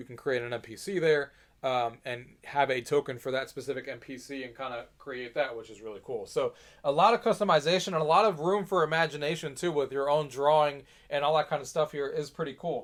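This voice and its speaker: A man talks at a fairly quick pace in a fairly high pitch, with ordinary pitch variation and big swings in loudness. The recording is very clean, with a silent background. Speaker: gaming tech youtuber. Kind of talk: product demo tutorial. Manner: fast; casual, many fillers.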